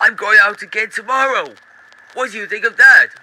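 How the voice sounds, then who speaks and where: This man puts on a character voice, pitched extremely high and delivered at a moderate pace. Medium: read story. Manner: cheerful, eager.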